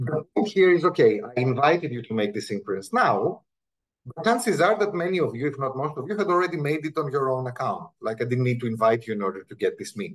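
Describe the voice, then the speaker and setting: Talking at a very fast pace, a man with a fairly high pitch and a non-native accent swings his pitch very widely. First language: Greek. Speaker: linguistics professor. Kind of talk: academic talk. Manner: conversational, with frequent repetitions.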